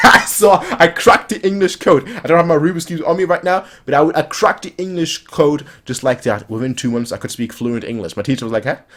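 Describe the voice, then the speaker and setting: A man's fairly high voice with a German accent, lively intonation, big swings in loudness, and a fairly quick pace. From Germany. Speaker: anime reaction youtuber. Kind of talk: casual chat.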